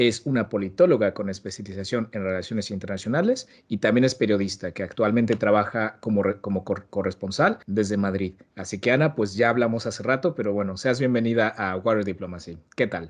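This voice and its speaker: A man with a Mexican accent, fairly low pitch and ordinary pitch variation, at a fairly quick pace with hardly any pauses and a quiet background. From Mexico. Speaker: podcast host. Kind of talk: casual podcast interview.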